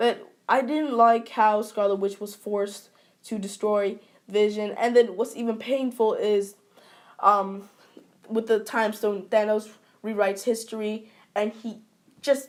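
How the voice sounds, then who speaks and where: Her pitch fairly high and her intonation monotone and flat, a woman speaks at a fairly slow pace with long, frequent pauses. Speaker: YouTuber. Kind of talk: casual video review.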